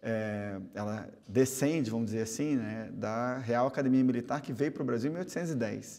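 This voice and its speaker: A man with a dark, mellow tone speaks with hardly any pauses over a quiet background. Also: ordinary pitch variation, moderate pace. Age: 40s. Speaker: politician. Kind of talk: TV interview. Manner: halting. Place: studio. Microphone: lapel.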